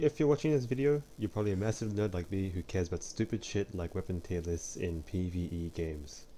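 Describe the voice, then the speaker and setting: In a very deep, low pitch with a dark, mellow tone, a man talks at a fairly quick pace with lively intonation. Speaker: gaming video commentator. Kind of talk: explainer voiceover narration. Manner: sleepy, low-energy.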